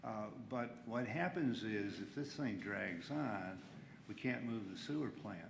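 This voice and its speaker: A man's medium-pitched voice with lively intonation at a fairly slow pace, in audible room echo. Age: 80s+. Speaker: local elected official. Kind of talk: public meeting discussion. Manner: halting.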